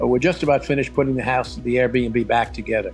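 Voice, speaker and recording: A man talks with music in the background. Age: 70s. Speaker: retired financial advisor, Airbnb host. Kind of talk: interview answer.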